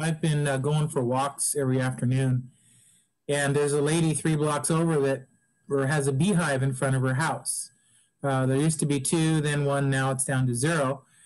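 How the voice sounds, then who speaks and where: Against a quiet background, a man with a fairly high pitch speaks at a moderate pace in a monotone, flat intonation. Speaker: audience member in film discussion. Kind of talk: casual group discussion. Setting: video call. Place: kitchen. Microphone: video call.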